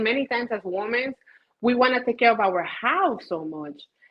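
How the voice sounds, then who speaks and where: With a Spanish accent, a woman talks at a moderate pace using lively intonation. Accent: Spanish-tinged. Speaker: caterer and business owner. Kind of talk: casual interview chat. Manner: animated.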